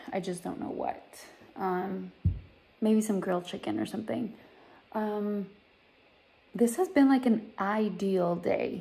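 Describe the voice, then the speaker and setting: The voice has a dark, mellow tone and moves at a fairly slow pace. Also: woman. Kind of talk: casual vlog chat. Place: home room. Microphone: phone near.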